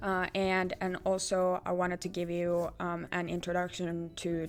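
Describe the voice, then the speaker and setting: A woman speaks with a Finnish accent at a fairly low pitch. Her intonation is monotone and flat. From Finland. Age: 20s. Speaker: artist. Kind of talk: vlog channel introduction. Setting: filming self on camera. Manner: halting, many fillers and repetitions.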